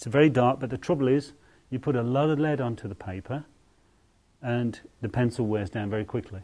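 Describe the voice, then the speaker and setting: A man with an English accent, a dark, mellow tone, ordinary pitch variation and a fairly quick pace broken by long, frequent pauses. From England. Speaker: artist. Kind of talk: tutorial. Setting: outdoors. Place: home room.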